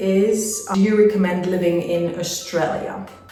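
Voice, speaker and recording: A woman's voice with noticeable background noise and audible room echo. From Spain, Madrid. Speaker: travel vlogger. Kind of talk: casual Q&A monologue. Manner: chatty with fillers.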